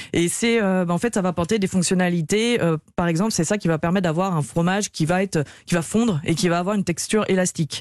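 A woman at medium pitch talks at a very fast pace with very even loudness. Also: ordinary pitch variation. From Lyon region, countryside of the Ain. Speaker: start-up co-founder. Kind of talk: radio interview. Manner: halting, many fillers.

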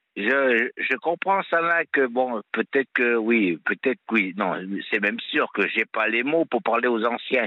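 Very slowly, a man talks at medium pitch with lively intonation and very even loudness. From Auvergne, France. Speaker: caller, gardener. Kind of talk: testimony. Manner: energetic.

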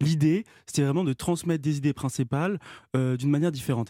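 A man with a fairly high pitch and a dark, mellow tone speaks at a very fast pace, in a very clean recording with a silent background and a dry, close sound with no echo. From Normandy, France. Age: 40s. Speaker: climate activist. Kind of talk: radio interview.

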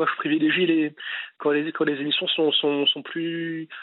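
His pitch runs fairly high. The man keeps a moderate speed. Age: 20s. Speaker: radio caller. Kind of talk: casual chat. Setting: phone call. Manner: halting.

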